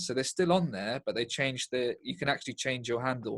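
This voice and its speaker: The background is quiet. A man with an English accent and medium pitch talks at a fairly quick pace. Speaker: stand-up comedian. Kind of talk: interview. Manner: deadpan, sounds sarcastic.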